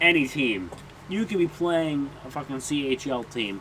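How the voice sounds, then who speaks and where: Noticeable background noise sits under a man's fairly high-pitched voice. He speaks at a very slow pace with lively intonation. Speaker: gaming commentator. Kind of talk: gameplay commentary.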